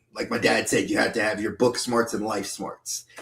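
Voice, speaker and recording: A man speaks with a New York accent. His intonation is flat and monotone. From New York (Bronx, Westchester County). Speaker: YouTuber, podcast guest. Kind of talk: casual interview.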